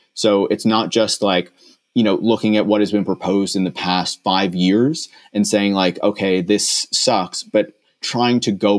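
On a very clean recording with a silent background, a man with a Newfoundland accent speaks fairly low at a moderate pace with fairly even intonation. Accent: Newfoundland Canadian English. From Newfoundland and Labrador, Canada. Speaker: tech critic podcast host. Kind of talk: casual chat.

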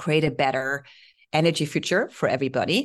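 This woman has a very deep, low pitch and a German accent. Her intonation stays fairly even against a quiet background. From Germany (Heidelberg). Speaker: solar software sales executive. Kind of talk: interview.

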